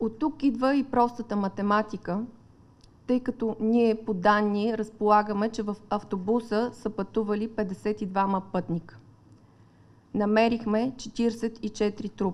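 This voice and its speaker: A woman at a fairly high pitch, with fairly even intonation and a very slow pace. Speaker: investigator. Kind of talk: press briefing. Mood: serious, formal. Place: meeting room. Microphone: podium.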